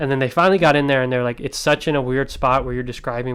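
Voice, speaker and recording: This man speaks at a very fast pace. His pitch sits in the medium range. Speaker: podcast co-host. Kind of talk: casual chat. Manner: animated.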